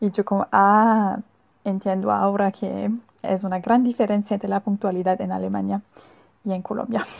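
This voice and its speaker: Speaking with a German accent, a woman keeps a medium pitch, a moderate pace and fairly even intonation. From Germany. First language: German (speaking Spanish). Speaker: Spanish student. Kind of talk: recorded monologue. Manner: halting.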